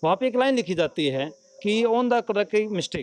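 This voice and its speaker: Lively intonation from a man at a moderate pace, in a dry, close recording with no echo. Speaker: village panchayat member. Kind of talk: news interview.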